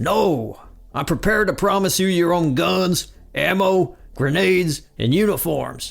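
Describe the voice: Over faint music in the background, a man puts on a high-pitched character voice with vocal fry, speaking at a slow pace with lively intonation.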